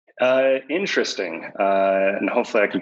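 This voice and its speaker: With an unremarkable speaking voice, a man talks at a moderate pace and a fairly low pitch with ordinary pitch variation. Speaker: company CEO. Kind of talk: casual interview.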